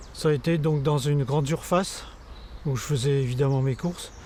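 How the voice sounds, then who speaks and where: At a fairly slow pace, a man talks in a dark, mellow, somewhat breathy tone, his fairly high pitch showing ordinary variation. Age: 70s. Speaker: sports photographer living with Parkinson's. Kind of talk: testimony. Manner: halting, many hesitations.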